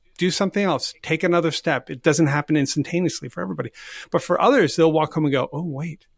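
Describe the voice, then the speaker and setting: A man talks very fast at a fairly high pitch with ordinary pitch variation and vocal fry. The sound is dry and close, with no echo. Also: very clean recording, silent background. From Canada, Nova Scotia (Halifax). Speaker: volunteering consultant, company co-founder. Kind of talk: interview.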